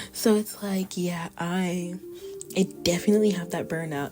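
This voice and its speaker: A woman whispers with music in the background. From Texas. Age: 20s. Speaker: YouTuber, artist and college student. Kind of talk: casual vlog introduction. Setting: college dorm room. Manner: whispering.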